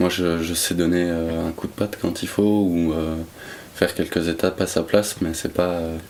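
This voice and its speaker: A man with a slight Brussels accent speaks in a very deep, low pitch with monotone, flat intonation. His pace is moderate, and there is noticeable background noise. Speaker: brewery sales and management. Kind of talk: interview answer.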